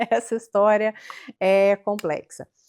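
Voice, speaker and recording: This woman has a dark, mellow tone at medium pitch and a very slow pace. The recording is dry and close, with no echo. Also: very clean recording, silent background. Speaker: marketing agency owner. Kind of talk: interview.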